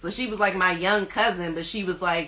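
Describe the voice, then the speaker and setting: Fairly quick speech in an American accent, with ordinary pitch variation and noticeable background noise. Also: woman. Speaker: rapper. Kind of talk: interview. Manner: casual, uses lots of fillers.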